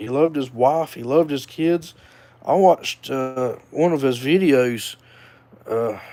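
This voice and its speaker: Speaking with a Southern US accent, a man shows ordinary pitch variation. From North Carolina (Hickory). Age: 30s. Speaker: vlogger. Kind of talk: casual monologue. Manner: hesitant, many fillers.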